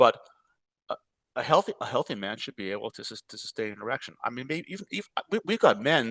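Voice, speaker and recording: Very fast speech with big swings in loudness, long, frequent pauses, very wide pitch swings and vocal fry, in a dry, close sound with no echo. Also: man, fairly high pitch for a man. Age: 70s. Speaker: physician and health tech company founder. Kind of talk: podcast interview. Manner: halting, frequent repetitions and false starts.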